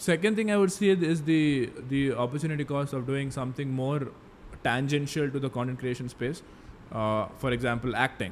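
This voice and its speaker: A man with an Indian accent and a fairly high pitch. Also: ordinary pitch variation, moderate pace. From Mangalore, coastal Karnataka, India. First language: Tulu. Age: 20s. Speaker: finance content creator. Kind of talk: casual interview.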